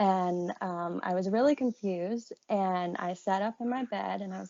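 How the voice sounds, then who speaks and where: A woman speaks at a medium pitch in an Appalachian accent. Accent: Southern Appalachian American. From US South, Appalachia (Marion, Virginia). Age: 30s. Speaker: podcast guest sharing paranormal experiences. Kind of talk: casual interview storytelling.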